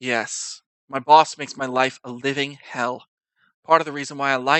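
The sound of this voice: Over a quiet background, an unforced reading voice moves along with fairly even intonation.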